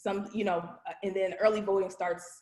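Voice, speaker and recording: Her voice has a dark, mellow tone, and the woman talks at a medium pitch. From Virginia, US. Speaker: voter registration trainer. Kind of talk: training presentation.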